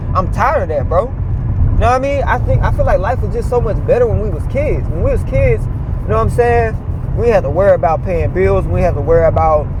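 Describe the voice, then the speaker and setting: Over noticeable background noise and audible room echo, a man talks at a fairly quick pace with hardly any pauses. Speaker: vlogger. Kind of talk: rant. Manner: loud; animated.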